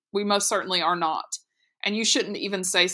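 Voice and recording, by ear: Someone is reading aloud in a natural voice. The background stays quiet.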